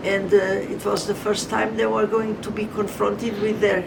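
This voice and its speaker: There is noticeable background noise and audible room echo. Over it, a woman speaks at a medium pitch. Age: 80s+. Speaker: mill society veteran member. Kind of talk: interview. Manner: halting.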